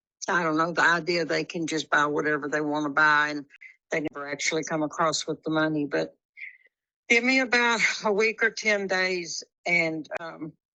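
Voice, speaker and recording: A woman with a very deep, low pitch and a Texas accent, at a moderate pace with ordinary pitch variation. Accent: Texas Southern. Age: 70s. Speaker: home seller. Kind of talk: phone conversation.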